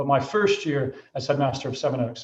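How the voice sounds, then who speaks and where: A man with an American accent talks at a very fast pace. His voice is somewhat breathy. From Michigan, US Midwest. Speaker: headmaster. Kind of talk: school presentation to parents. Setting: video call. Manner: hesitant fillers.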